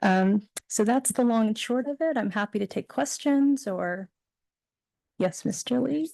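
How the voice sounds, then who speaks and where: A woman with a Californian accent and lively intonation at a moderate pace, in a dry, close sound with no echo and a quiet background. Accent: Californian American. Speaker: PTA council representative. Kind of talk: report at public board meeting. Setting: board meeting. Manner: frequent fillers.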